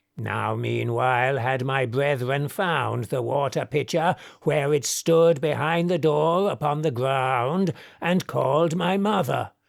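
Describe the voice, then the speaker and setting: Put-on character voice from a man, delivered fairly slowly. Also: fairly high pitch for a man, very clean recording, silent background. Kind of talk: poetic verse drama reading. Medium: audio drama. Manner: solemn, archaic.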